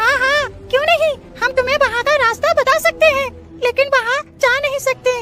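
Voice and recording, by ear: An extremely high-pitched, cartoonish character voice plays over clear music in the background. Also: moderate pace.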